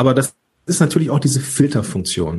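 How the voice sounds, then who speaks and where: There is a somewhat breathy quality to this man's voice. His intonation moves in a lively way. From Ruhr area / Rhineland, Germany. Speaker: podcast coach. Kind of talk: interview. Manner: animated.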